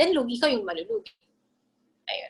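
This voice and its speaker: A woman speaks at a fairly quick pace. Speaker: intellectual property specialist. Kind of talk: lecture Q&A. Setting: video call. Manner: fast.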